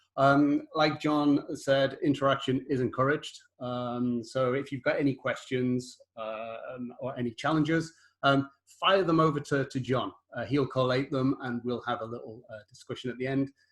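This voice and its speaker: A man with a British accent at a moderate pace and with fairly even intonation. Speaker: solutions architect. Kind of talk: webinar presentation. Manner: halting.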